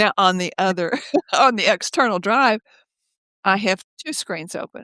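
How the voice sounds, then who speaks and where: A woman speaks at medium pitch and a moderate pace, with ordinary pitch variation. Her tone is bright and sharp, and the sound is dry and close with no echo. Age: 70s. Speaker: author. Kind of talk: casual chat.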